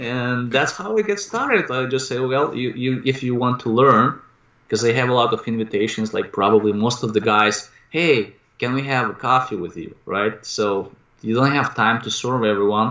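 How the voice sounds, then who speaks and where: Moderate pace and ordinary pitch variation in a man's medium-pitched voice. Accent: Russian. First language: Russian. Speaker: real estate investor and coach. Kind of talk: interview. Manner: halting.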